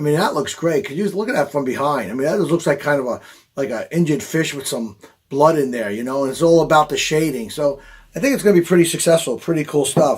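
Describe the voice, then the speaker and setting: Very fast speech in a Long Island accent. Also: man, fairly high pitch for a man, ordinary pitch variation. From Long Island, New York. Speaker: fishing charter captain. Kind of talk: product demonstration. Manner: animated.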